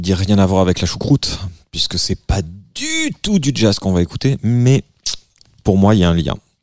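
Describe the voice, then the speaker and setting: The speaker talks at a moderate pace with ordinary pitch variation. Long pauses come often, and the sound is dry and close with no echo. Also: man, fairly low pitch for a man. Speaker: singer and musician guest. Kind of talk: casual chat, guest presenting favorite tracks. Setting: studio.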